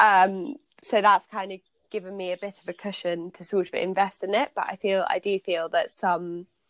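Using a normal speaking voice, a woman talks at a moderate pace with fairly even intonation. The sound is dry and close, with no echo. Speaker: podcast host. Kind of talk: casual interview chat.

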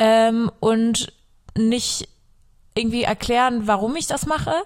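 A woman speaks very slowly at a fairly high pitch. The recording is very clean, with a silent background. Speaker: faith podcast host. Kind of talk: casual solo podcast talk.

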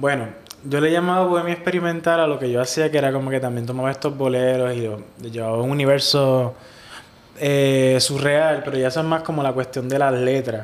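Fairly high-pitched for a man, this male speaker moves at a fairly quick pace with fairly even intonation. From Puerto Rico (Ciales). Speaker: singer-songwriter. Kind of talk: casual interview. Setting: hostel room.

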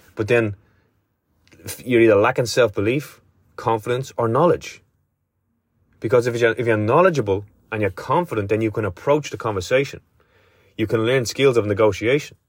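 A man speaks at medium pitch in a somewhat breathy voice with ordinary pitch variation. His pace is fairly quick despite long, frequent pauses, in a very clean recording with a silent background. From Ireland. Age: 30s. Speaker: spiritual coach podcaster. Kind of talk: solo monologue podcast. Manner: casual, conversational.

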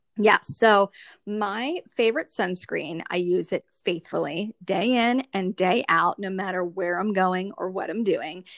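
A woman speaks in a normal speaking voice at a medium pitch. Her fairly slow delivery sounds dry and close with no echo. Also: ordinary pitch variation. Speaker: skincare consultant. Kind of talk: casual interview.

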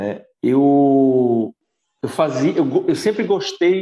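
This is a man speaking. His pitch is fairly high. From Brazil, Pernambuco interior (Caruaru). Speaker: physiotherapist and Pilates teacher. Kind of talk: casual interview chat.

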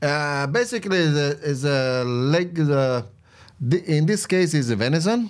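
A man with an Italian accent speaks at a fairly slow pace and a fairly high pitch, his loudness very even, on a very clean recording with a silent background. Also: lively intonation. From Italy, Campania (Salerno province village). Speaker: restaurant owner and farmer. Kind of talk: casual chat. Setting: studio.

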